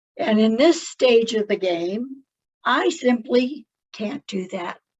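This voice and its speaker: The intonation is lively. The pace is very slow. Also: woman, fairly high pitch for a woman. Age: 70s. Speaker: naturopathic doctor and gardener. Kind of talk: casual talk to camera.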